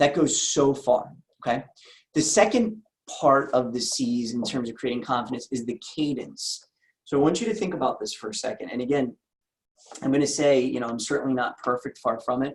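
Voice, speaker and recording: A man's fairly high voice with an American accent and lively intonation. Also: fairly quick pace. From US Northeast, Philadelphia. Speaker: insurance agency owner and sales trainer. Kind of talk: sales training talk. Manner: fast; energetic.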